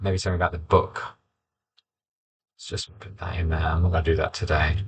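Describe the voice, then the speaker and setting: At a very fast pace, a man with a very deep, low, somewhat breathy voice talks in a monotone, flat intonation with big swings in loudness. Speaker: poet and teacher. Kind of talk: writing process vlog, thinking aloud. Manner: mumbling, halting.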